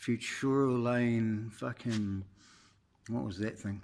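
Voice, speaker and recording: Intonation stays fairly even in this voice with a New Zealand accent. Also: man. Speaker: car owner. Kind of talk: casual talk to camera. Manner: rambling, hesitant, profane.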